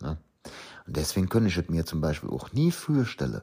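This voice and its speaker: This man has a very deep, low voice with vocal fry, and he sounds animated with lively intonation. The recording is very clean, with a silent background. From Rhineland, Euskirchen area (Eifel). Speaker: podcaster. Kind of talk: casual monologue in dialect.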